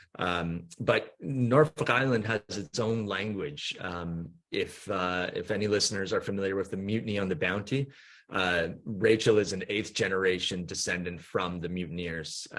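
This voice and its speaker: A man with a Canadian accent talks at a moderate pace in a fairly low voice, his pitch varying in an ordinary way. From Canada, Vancouver. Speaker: company co-founder. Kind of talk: podcast interview. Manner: halting, many fillers.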